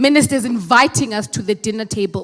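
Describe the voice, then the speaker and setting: With a South African accent, a woman speaks in a fairly high, animated voice with ordinary pitch variation. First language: Xhosa. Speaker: program director at a meeting. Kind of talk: formal address at a meeting. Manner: animated, rhetorical.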